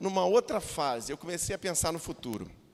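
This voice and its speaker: The speaker is a man. His intonation is lively. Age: 50s. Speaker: pastor. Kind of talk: sermon. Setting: church. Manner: halting, with restarts and filler words.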